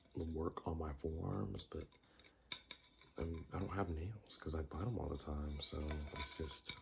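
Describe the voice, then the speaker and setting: Soft-spoken and very deep, a man talks at a fairly slow pace with ordinary pitch variation and very even loudness. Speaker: ASMR creator. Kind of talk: ASMR casual talk to camera.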